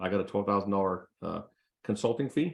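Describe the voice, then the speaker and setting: This man has a fairly low pitch. He speaks with an American accent. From California. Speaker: real estate investor. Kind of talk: casual chat. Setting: video call. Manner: fast.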